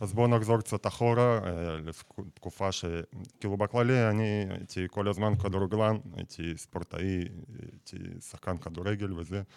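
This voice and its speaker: A man's fairly low voice moves at a moderate pace with fairly even intonation, on a very clean recording with a silent background. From Russia. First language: Russian (speaking Hebrew). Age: 20s. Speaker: battle rap platform founder. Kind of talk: radio interview. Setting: studio.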